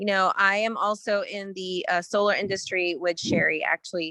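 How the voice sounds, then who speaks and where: A woman with an American accent speaks at medium pitch and a moderate pace, with fairly even intonation. Her tone is bright and sharp, and the sound is dry and close with no echo. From Northern California. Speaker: entrepreneur. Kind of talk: networking call introduction.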